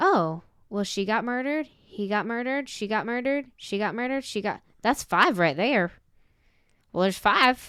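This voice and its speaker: A woman at a fairly high pitch and moderate pace, bright, sharp tone, lively intonation, very clean recording with a silent background. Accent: American. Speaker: podcast host. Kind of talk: casual chat, telling a paranormal story.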